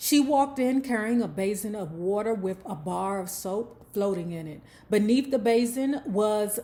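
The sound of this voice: The pitch moves up and down in an ordinary way. It comes from an unforced reading voice.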